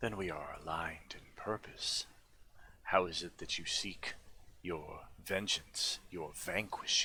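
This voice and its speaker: A man whispers in a put-on character voice at a fairly slow pace. Background noise is clear. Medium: actual play. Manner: formal, deliberate, imperious.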